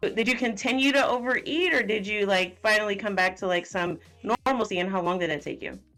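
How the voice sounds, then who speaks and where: Music plays in the background as a woman talks at a very fast pace. She hardly pauses and has ordinary pitch variation. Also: medium pitch for a woman. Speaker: nutrition and fitness coach. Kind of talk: podcast interview host. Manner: casual, conversational.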